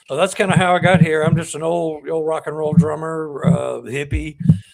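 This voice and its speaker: There's noticeable noise behind this speaker. He's a man with an American accent. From Texas. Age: 70s. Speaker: author and former rock drummer. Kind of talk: podcast interview. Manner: halting, many fillers and repeats.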